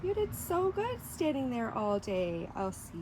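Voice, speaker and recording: Somewhat breathy and calm, this woman's voice has a dark, mellow tone and very wide pitch swings. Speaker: special education trainer. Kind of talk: tutorial. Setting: outdoors. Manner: calm and encouraging.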